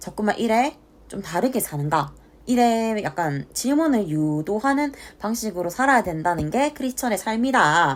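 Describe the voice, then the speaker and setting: A woman with a Gyeongsang accent speaks at a moderate pace with fairly high pitch and very wide pitch swings. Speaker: book reviewer. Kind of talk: casual book review talk to camera.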